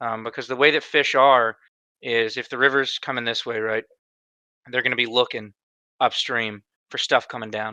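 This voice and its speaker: A man at medium pitch with a slight Southern US accent talks at a fairly quick pace in a bright, sharp tone, his intonation fairly even, the sound dry and close with no echo over a quiet background. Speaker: podcast co-host. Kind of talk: casual chat.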